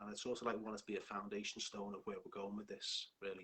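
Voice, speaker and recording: A man with a Liverpool accent talks at a fairly quick pace. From northern England, Liverpool. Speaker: hypnotherapist and life coach. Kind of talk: live stream talk. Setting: online live stream.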